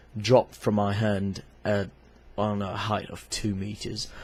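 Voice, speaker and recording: A somewhat breathy, fairly low-pitched male voice. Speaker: club photographer. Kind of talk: product review talk to camera. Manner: hesitant, many fillers.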